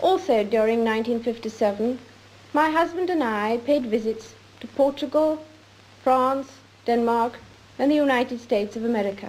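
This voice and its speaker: A woman with a high pitch and ordinary pitch variation, speaking at a moderate pace with long, frequent pauses amid noticeable background noise. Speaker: monarch. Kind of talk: formal televised Christmas address. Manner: measured, formal.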